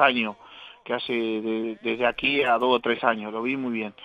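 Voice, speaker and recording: Moderate pace with music in the background. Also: man. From Uruguay, Paysandú region. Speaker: retired footballer. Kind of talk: casual interview chat.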